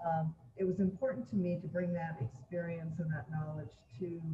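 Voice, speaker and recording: This woman has a fairly low, dark, mellow voice that is somewhat breathy, with an American accent. She speaks at a moderate pace with ordinary pitch variation. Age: 70s. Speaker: former mayor and state legislator. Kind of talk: panel discussion. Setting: virtual panel.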